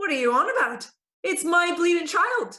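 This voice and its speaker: Putting on a character voice, a woman speaks in an extremely high pitch at a moderate pace, in a strong Dublin accent. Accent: thick Dublin. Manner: indignant.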